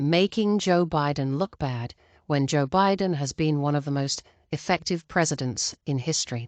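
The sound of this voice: Speaking at a fairly slow pace, a woman uses lively intonation in a dry, close sound with no echo.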